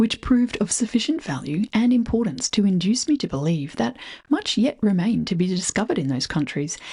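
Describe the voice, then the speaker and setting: Her dark, mellow voice is somewhat breathy, and this woman moves at a fairly quick pace around a medium pitch with very wide pitch swings. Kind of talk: reading aloud from a 19th-century preface.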